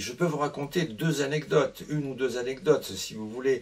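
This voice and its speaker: A man speaks fairly slowly against noticeable background noise. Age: 80s+. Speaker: retired family doctor and author. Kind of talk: book presentation, anecdotal storytelling. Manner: hesitant, with fillers and repetitions.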